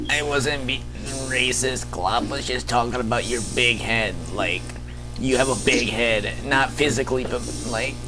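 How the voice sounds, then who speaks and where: Under loud background noise, a man talks in a put-on character voice at a moderate pace. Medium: actual play. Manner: refers to himself in third person.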